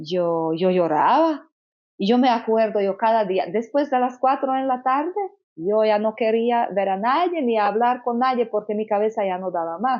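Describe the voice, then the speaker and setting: In a Slovak accent, a woman talks fairly slowly at a fairly high pitch with very wide pitch swings. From Slovakia. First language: Slovak (speaking Spanish). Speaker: consecrated virgin. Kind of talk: testimony. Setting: Medjugorje, rainy day. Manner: halting.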